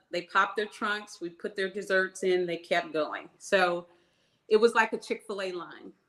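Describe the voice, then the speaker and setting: A plain, everyday voice from a woman at medium pitch and moderate pace, fairly even intonation and big swings in loudness, on a very clean recording with a silent background. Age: 60s. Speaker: small business owner, baker. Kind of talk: interview.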